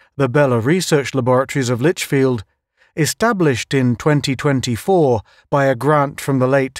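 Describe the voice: A quiet background behind plain reading aloud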